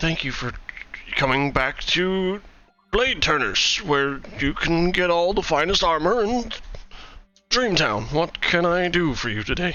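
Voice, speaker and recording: A man puts on a character voice at a high pitch. He speaks at a fairly slow pace with long, frequent pauses. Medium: actual play. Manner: soft-spoken.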